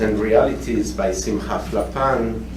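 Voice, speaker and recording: A man with a French accent and a fairly low pitch, very wide pitch swings, noticeable background noise and audible room echo. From France. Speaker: professor. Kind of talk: conference talk.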